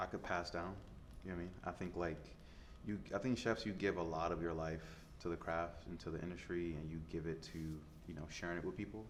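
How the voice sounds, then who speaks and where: Audible room echo surrounds a man speaking fairly quickly in an American accent at a very deep, low pitch. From US Midwest, Detroit. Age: 30s. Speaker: chef. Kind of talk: interview. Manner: casual, filler-heavy.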